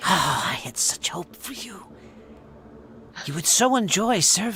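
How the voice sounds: A man uses a put-on character voice, pitched high, with a bright, sharp tone. His pace is fairly slow, his pitch swings are big, and faint background noise can be heard.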